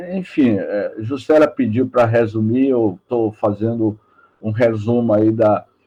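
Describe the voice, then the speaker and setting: At a very slow pace, a man talks at a medium pitch. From Bahia, Brazil (Salvador). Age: 60s. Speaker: spiritist lecturer. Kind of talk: religious talk. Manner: halting.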